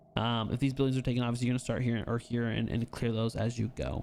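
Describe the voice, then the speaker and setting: At a very fast pace, a man talks at medium pitch. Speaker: gaming video creator. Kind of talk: gameplay commentary tutorial. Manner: animated.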